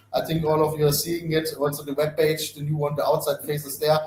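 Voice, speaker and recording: The speaker has a non-native accent and talks at a fairly quick pace. There is noticeable background noise. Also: man. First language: not English. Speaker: company CEO and founder. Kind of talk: live webinar Q&A. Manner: fast.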